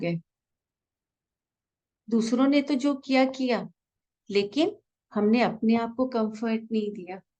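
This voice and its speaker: A woman's fairly high, dark and mellow voice with a soothing tone, ordinary pitch variation, and long, frequent pauses. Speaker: meditation guide. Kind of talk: guided meditation. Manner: slow, soothing.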